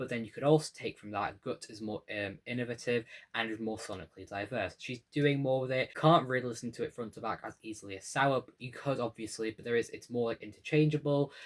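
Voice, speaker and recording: Racing along at a very fast pace with hardly any pauses, a man's voice shows big swings in loudness. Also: medium pitch for a man, ordinary pitch variation. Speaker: YouTuber, music commentator. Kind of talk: video essay.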